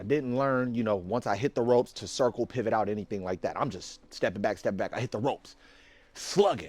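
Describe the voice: A man talks at a fairly quick pace with a fairly low pitch. His tone is slightly mellow, with ordinary pitch variation.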